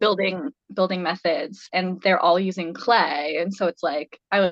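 An unremarkable speaking voice from a woman with an American accent, medium in pitch and fairly even in intonation, at a moderate pace, with a dry, close sound with no echo. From Idaho. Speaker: ceramic artist. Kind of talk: casual interview.

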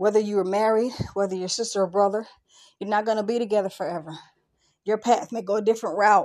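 Over a quiet background, a woman speaks at a very fast pace with a medium pitch. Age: 50s. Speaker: spiritual podcaster. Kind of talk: solo podcast monologue.

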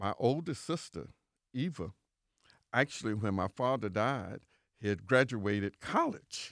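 A man with an American accent speaks in a fairly low voice with lively intonation. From Central Florida. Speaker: city official. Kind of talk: interview. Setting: studio. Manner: halting.

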